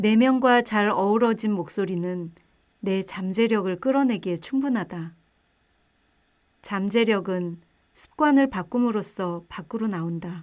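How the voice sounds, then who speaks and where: Over a very clean recording with a silent background, a woman talks at a very slow pace with long, frequent pauses, using a medium pitch and ordinary pitch variation. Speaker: book narrator. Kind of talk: audiobook reading.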